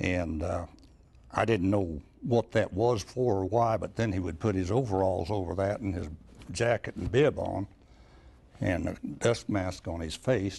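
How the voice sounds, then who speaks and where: A man with a dark, mellow, somewhat breathy tone speaks at a fairly slow pace and fairly low pitch, with ordinary pitch variation and long, frequent pauses. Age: 80s+. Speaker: elderly eyewitness. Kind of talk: oral history interview.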